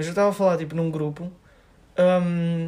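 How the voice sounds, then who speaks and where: Intonation stays flat and monotone. The voice belongs to a man and sits high in pitch. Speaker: podcast co-host. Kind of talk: casual chat.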